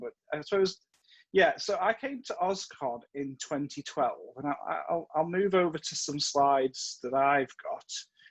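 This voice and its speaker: A man with an American accent and a fairly high pitch talks at a moderate pace with ordinary pitch variation. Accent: Stoke-on-Trent English, slight American slips. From Staffordshire, England. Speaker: convention chair. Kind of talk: casual chat; presentation with slides.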